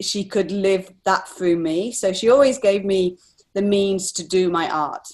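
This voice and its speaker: A woman at medium pitch with an English accent, against a quiet background. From England. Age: 40s. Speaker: artist. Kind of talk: interview.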